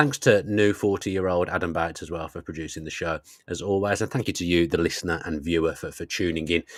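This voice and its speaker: A man with an English accent at a very deep, low pitch and very fast pace, with ordinary pitch variation, in a very clean recording with a silent background. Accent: regional English accent, criticised by fans. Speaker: football podcast host. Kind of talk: casual chat.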